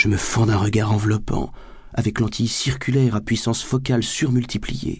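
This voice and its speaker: With an animated tone and very even loudness, a man speaks somewhat breathily at a moderate pace and a medium pitch. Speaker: audiobook narrator. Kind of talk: dramatic audiobook narration. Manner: animated, sardonic.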